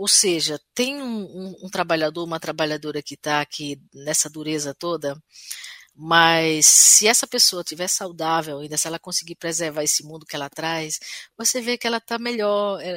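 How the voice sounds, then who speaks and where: A woman speaks at a moderate pace and a fairly low pitch, with ordinary pitch variation and a bright, sharp tone. Her loudness swings widely, and the sound is dry and close with no echo. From Brazil, Sertão of Paraíba. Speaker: singer-songwriter. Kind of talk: interview. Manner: hesitant, with frequent repetitions.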